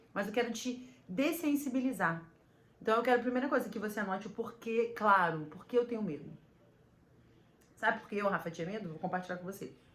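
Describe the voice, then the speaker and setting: A woman talks at a fairly quick pace and a fairly high pitch, with big swings in loudness. Long, frequent pauses break up her speech, and the room echo is audible. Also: lively intonation. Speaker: podcaster and business coach. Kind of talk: motivational talk to camera. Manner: fast.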